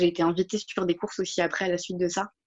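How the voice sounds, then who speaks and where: This woman speaks at a medium pitch. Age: 20s. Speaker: nursing assistant and marathon runner. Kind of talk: interview testimony. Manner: hesitant, many fillers.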